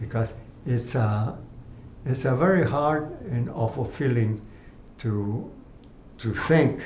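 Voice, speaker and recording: The man talks very slowly at a medium pitch with ordinary pitch variation and long, frequent pauses. There is audible room echo and noticeable background noise. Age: 80s+. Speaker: cancer patient. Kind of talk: interview. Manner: halting.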